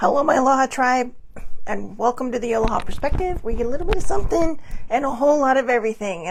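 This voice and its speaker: A woman speaks in a put-on character voice, high-pitched, hoarse and raspy, at a very fast pace over light background noise. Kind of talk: upbeat podcast greeting.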